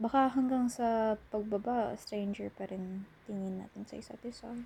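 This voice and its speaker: Soft-spoken and somewhat breathy, a woman with a medium pitch speaks in a dark, mellow tone with ordinary pitch variation. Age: 20s. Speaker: college student character. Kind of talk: ASMR roleplay. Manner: soft-spoken, casual.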